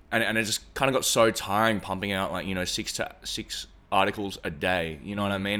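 A man with an Australian accent speaks at a very deep, low pitch with fairly even intonation and a bright, sharp tone on a very clean recording with a silent background. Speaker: music manager and presenter. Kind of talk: casual chat. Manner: halting.

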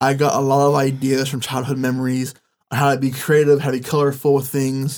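Speaking at a moderate pace with an American accent, a man has a fairly high pitch. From California Central Valley. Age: 20s. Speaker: former mayoral candidate. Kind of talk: interview.

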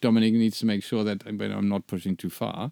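Very fast speech comes from a man with a German accent and a dark, mellow tone. The recording is very clean, with a silent background. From Germany. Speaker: branding agency founder and podcast co-host. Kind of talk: casual chat. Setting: studio.

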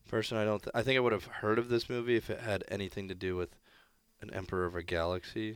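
A man talks at a very fast pace in a fairly low pitch with fairly even intonation. The recording is very clean and the background silent. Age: 20s. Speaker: professional hockey player. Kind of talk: casual chat.

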